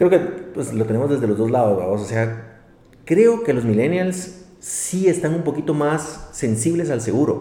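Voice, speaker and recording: A man speaks at a fairly slow pace with a fairly high voice. His pitch swings very widely. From Guatemala. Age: 30s. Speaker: insurance executive. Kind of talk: interview.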